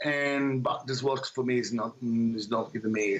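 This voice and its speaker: Here a man talks at a medium pitch with ordinary pitch variation. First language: Italian. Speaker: singer-songwriter. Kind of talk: interview. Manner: halting.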